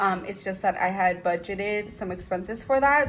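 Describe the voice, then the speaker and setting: A woman speaks in an ordinary speaking voice at medium pitch, with ordinary pitch variation and a moderate pace. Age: 20s. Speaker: budgeting vlogger. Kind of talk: casual vlog.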